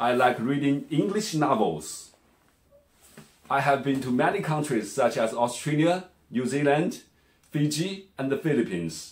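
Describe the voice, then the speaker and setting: A man with a Chinese accent speaks at a fairly slow, fairly high pitch with vocal fry, lively intonation and long, frequent pauses. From China. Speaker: language teacher. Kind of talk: self-introduction pitch. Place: home room. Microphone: phone near.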